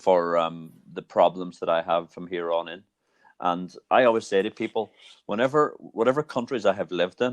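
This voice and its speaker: A man with an Irish accent and a very deep, low pitch speaks at a moderate pace with lively intonation and big swings in loudness, the sound dry and close with no echo over a quiet background. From Ireland. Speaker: podcast host. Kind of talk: conversational interview.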